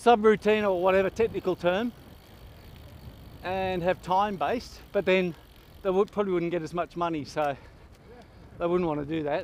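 A man with a high voice talks at a moderate pace, leaving long, frequent pauses, with ordinary pitch variation, dry sound with no echo and light background noise. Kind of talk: casual chat while riding. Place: bicycle. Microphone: helmet.

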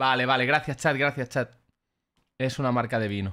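Over a quiet background, a man speaks at a medium pitch in a bright, sharp tone. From Spain (Barcelona). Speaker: freestyle rapper reacting to battles; streamer reacting. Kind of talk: live reaction stream commentary. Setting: livestream with chat. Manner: animated. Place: home room. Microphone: studio mic.

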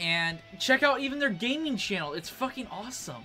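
A man speaks at a moderate pace in a raised, projected voice, with faint music in the background. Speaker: YouTube reaction creator. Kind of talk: casual vlog chat. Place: home room. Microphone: camera far.

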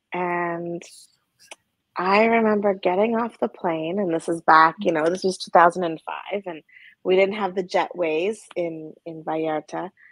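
Over a quiet background, the voice moves at a fairly slow pace with fairly even intonation and a dry sound with no echo. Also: woman, fairly low pitch for a woman. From Alberta, Canada. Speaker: trauma therapist. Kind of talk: interview conversation. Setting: video call. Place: home room. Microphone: video call.

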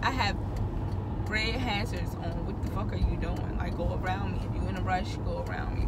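Loud background noise behind a woman speaking at a moderate pace. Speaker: driver vlogger. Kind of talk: casual vlog chat. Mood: irritated, venting. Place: car. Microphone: phone near.

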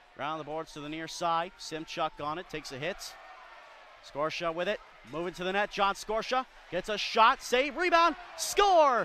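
A man is speaking. His tone is upbeat. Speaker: hockey play-by-play announcer. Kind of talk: live commentary. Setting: arena at a hockey game. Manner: fast-paced, play-by-play delivery that rises in pitch and energy on goals; upbeat and clipped, rattling off names and plays.

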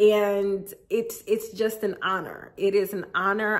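At a slow pace, a woman speaks at medium pitch.

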